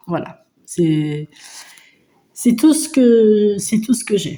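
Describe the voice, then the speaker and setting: A woman's somewhat breathy voice, dark and mellow in tone, medium in pitch, with lively intonation at a very slow pace. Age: 50s. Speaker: budgeting vlogger. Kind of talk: casual vlog chat. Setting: at home. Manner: hesitant, many fillers.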